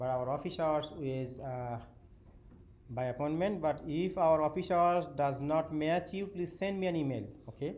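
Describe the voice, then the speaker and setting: A man speaks with a strong non-native accent at a fairly high pitch. Room echo can be heard. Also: ordinary pitch variation, moderate pace. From Bangladesh. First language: Bengali. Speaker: university professor. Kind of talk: lecture. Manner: halting.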